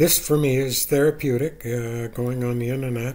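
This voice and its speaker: A man speaks at a fairly slow pace amid noticeable background noise. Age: 70s. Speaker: YouTuber. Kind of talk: casual monologue. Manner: halting.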